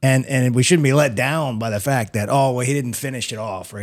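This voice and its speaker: This man has an unremarkable speaking voice of medium pitch, with ordinary pitch variation and a fairly quick pace. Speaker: podcast host. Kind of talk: casual chat. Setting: studio.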